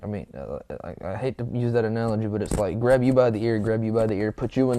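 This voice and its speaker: A man speaks at a very fast pace with a medium pitch, a dark, mellow tone, and fairly even intonation. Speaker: youtuber. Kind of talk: casual vlog rant. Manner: halting, stumbling.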